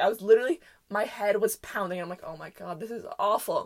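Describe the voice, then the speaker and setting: A woman speaks at a fairly quick pace. Her tone is animated. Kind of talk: casual storytelling monologue. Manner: loud.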